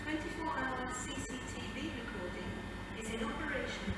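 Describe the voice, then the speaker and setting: Music plays in the background as a woman talks, with audible room echo. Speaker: recorded station announcer. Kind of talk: public announcement. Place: station. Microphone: pa.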